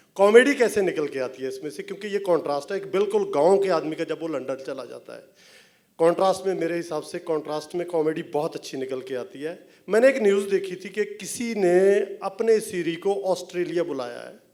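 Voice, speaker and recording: A man with a Punjabi accent, high-pitched, moderate pace, ordinary pitch variation and big swings in loudness. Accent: Punjabi-tinged Hindi. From Punjab, rural. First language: Punjabi (speaking Hindi). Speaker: film director and writer. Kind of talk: stage interview. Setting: stage with audience.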